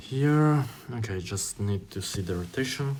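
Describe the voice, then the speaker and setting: A somewhat breathy man at a fairly slow pace, with ordinary pitch variation and audible room echo. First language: Italian. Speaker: YouTuber doing online tests. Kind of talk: think-aloud while taking a test. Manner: halting, with many fillers.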